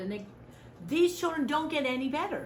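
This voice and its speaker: A woman speaks loudly with very wide pitch swings, and audible room echo is present. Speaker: volunteer trainer. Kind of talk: training lecture. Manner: animated.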